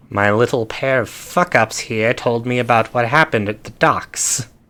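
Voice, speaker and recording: A man's nasal, put-on character voice at a medium pitch, with ordinary pitch variation and a moderate pace. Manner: menacing, gruff.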